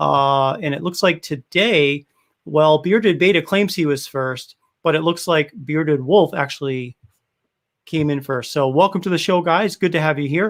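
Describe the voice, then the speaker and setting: A man with a Rhode Island accent speaks at a fairly high pitch. He keeps a moderate pace with ordinary pitch variation. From US Northeast, Rhode Island (Cranston, Providence). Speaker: beard oil business owner and livestream host. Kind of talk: casual livestream chat. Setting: live stream. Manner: animated.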